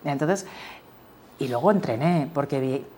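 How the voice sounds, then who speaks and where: A woman's voice sits very deep and low. She talks at a fairly slow pace. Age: 50s. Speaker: energy company executive. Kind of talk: interview. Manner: halting.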